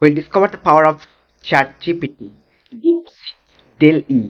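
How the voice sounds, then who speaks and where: A moderate pace in a Bengali accent. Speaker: online tech instructor. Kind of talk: course introduction.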